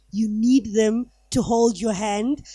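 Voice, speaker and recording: At a fairly slow pace, a woman talks with a fairly high pitch and a dark, mellow tone. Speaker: journalist and newspaper editor, panelist. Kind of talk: panel discussion. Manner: loud.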